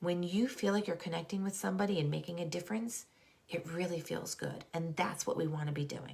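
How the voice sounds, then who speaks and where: A woman talks at a medium pitch, with noticeable noise in the background. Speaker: school counselor and wellness coach. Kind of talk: live online talk. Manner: casual, filler-heavy.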